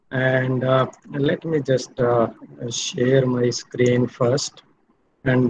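A man speaks very slowly in a flat monotone, somewhat breathy, with very even loudness and long, frequent pauses. Noticeable background noise runs underneath. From India. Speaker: professor. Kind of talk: lecture. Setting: video call. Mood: warm, friendly. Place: home room. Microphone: audio dropped out, bad network; webcam.

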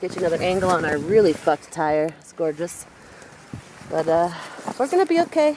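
A woman speaks at a moderate pace with noticeable background noise. The sound is dry, with no echo. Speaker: camper vlogger. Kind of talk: casual vlog chat. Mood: amused despite being stuck. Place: open country. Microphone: phone near.

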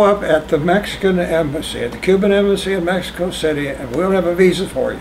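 Against light background noise, a man talks fairly quickly at high pitch with ordinary pitch variation. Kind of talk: oral history interview answer. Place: home room. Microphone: camera far.

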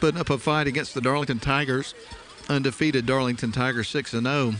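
An excited tone at a fairly quick pace over noticeable background noise. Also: man. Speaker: play-by-play announcer. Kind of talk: live sports commentary. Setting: live stream broadcast. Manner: fast, excited play-by-play delivery, rising on big plays.

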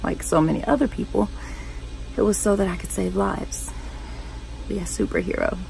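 Over clear background music, a woman speaks quietly and with strain at a fairly quick pace, taking long, frequent pauses in a dry sound with no echo. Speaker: 911 operator character, monologue performer. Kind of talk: scripted dramatic monologue, first-person acted storytelling. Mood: somber, emotional. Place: home room. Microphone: phone near.

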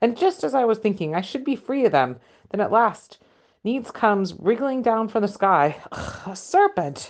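A shrill, put-on character voice with a fairly high pitch speaks at a moderate pace against a quiet background. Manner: shrieking.

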